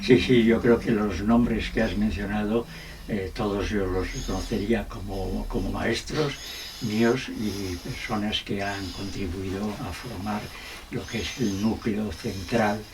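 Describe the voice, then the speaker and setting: Audible room echo and noticeable background noise surround a man with a fairly low pitch. He speaks at a very slow pace with fairly even intonation. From Spain, Salamanca. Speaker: law philosophy professor. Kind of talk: interview. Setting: his home.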